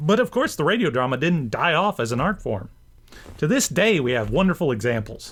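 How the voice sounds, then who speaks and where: Very wide pitch swings and vocal fry mark this man's fairly high-pitched voice at a fairly quick pace on a very clean recording with a silent background. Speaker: vlogger and radio drama enthusiast. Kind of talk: casual talk to camera.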